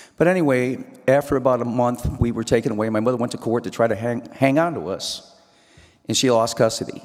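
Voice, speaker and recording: Over noticeable background noise, a man talks at a very fast pace with a medium pitch and ordinary pitch variation. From US Midwest, Joliet, Illinois. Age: 70s. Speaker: motivational speaker. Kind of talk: personal testimony speech. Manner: energetic.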